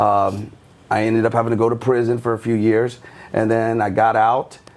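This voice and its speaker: With an American accent, a man talks at a moderate pace and a medium pitch. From Tampa, Florida. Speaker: nightclub owner. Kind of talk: casual chat. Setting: studio. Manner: hesitant, many fillers.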